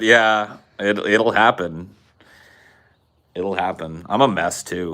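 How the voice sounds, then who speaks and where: With a Californian accent and a bright, sharp tone, a man speaks at a very slow pace and fairly low pitch, with ordinary pitch variation and long, frequent pauses. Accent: California regional accent, easily placed. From Central California. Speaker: podcast host. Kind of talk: casual chat. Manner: animated.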